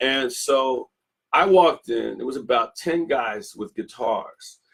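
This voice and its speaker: A man with an American accent talks at a fairly slow pace in a normal speaking voice, medium in pitch, with big swings in loudness. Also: ordinary pitch variation. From Philadelphia, US. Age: 60s. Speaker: guitarist. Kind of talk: interview.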